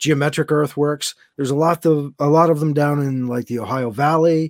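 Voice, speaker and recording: In a very clean recording with a silent background and a dry, close sound with no echo, a man talks in a normal speaking voice, fairly high in pitch with ordinary pitch variation. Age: 50s. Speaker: sci-fi and comic book author. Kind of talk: casual chat.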